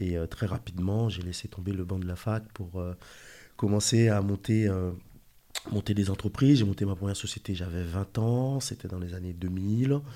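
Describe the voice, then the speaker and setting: At a moderate pace, a man speaks in a dark, mellow tone with fairly low pitch and ordinary variation. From Haiti. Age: 40s. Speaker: watch dealer and entrepreneur. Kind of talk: interview. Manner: halting, frequent repetitions.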